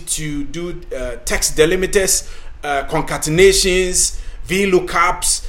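A man talks fairly slowly with an African accent. Background noise is noticeable. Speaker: podcast host and career coach. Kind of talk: scripted-style talk, tutorial.

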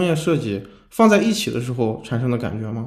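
Audible room echo carries a man's voice as he talks at a moderate pace with medium pitch and lively intonation. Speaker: podcast host, UX designer. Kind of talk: casual chat.

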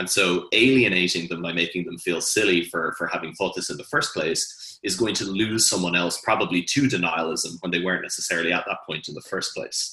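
A man's very deep, low voice, bright and sharp in tone, fairly quick, with ordinary pitch variation. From Hong Kong, then Ireland from age 13. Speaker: nutrition researcher, former lawyer. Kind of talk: panel discussion.

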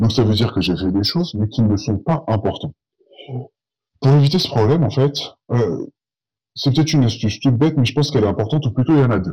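A man's medium-pitched, dark and mellow voice, somewhat breathy, with lively intonation, a very fast pace and long, frequent pauses. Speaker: podcaster, accountant. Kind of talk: solo podcast monologue. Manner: casual, hesitant with fillers.

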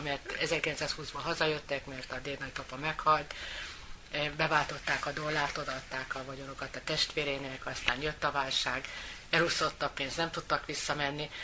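A woman's very deep, low voice, monotone and flat at a moderate pace, over noticeable background noise. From Hungary, Győr area. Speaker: sister of guest. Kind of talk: interview.

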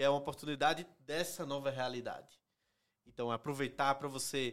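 The delivery comes at a moderate pace. It carries a northeastern Brazilian accent. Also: man. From Northeast Brazil. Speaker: company executive. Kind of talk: casual interview.

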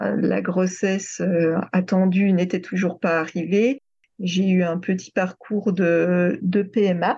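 Speaking very slowly at a medium pitch, a woman's somewhat breathy voice has a dark, mellow tone, monotone flat intonation, and very even loudness. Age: 30s. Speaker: sophrologist and former French teacher. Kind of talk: testimony. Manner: hesitant.

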